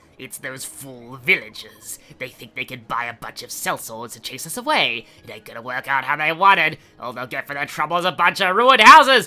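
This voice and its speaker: A man's put-on character voice, fairly high in pitch, at a fairly quick pace, with very wide pitch swings and big swings in loudness. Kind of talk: comic, villainous. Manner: silly.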